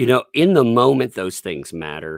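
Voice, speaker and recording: In a slight Southern US accent, the speaker uses very wide pitch swings and vocal fry, on a very clean, dry, close recording with no echo and a silent background. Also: man. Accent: mild Southern US. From Tennessee. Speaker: YouTuber. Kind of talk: casual chat.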